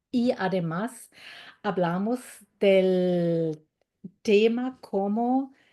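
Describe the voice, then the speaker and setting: Against a quiet background, a woman speaks in a dark, mellow tone at a medium pitch with ordinary pitch variation. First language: German (speaking Spanish). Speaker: German language teacher. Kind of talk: webinar presentation. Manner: halting.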